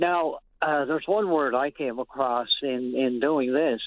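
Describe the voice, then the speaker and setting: A man speaks at a fairly slow pace. His is an unremarkable speaking voice with ordinary pitch variation. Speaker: book publisher and dictionary editor. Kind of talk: radio interview answer. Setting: phone line.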